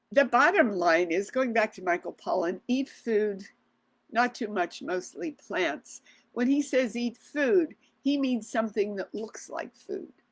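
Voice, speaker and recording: Here is a woman with a plain, everyday voice and a fairly high pitch. She speaks at a fairly slow pace, with lively intonation. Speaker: doctor giving health advice. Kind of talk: live video Q&A talk. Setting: live Facebook video. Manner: casual with fillers and restarts.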